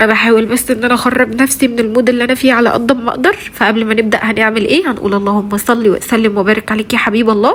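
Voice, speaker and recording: Over noticeable background noise, a woman with an Egyptian accent speaks at a very fast pace with fairly even intonation and very even loudness. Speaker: vlogger, mother of three. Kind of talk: casual vlog talk to viewers. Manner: halting, many fillers.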